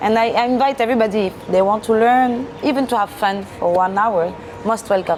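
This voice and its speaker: A woman's fairly high voice in a French accent, at a fairly quick pace with ordinary pitch variation and very even loudness, over noticeable background noise. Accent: French, obvious. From France. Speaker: restaurant manager. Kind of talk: interview.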